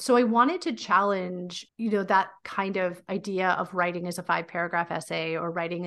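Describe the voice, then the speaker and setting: Over a quiet background, a woman speaks in an unremarkable speaking voice with fairly low pitch. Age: 40s. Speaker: teacher and PhD candidate, podcaster. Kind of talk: interview conversation.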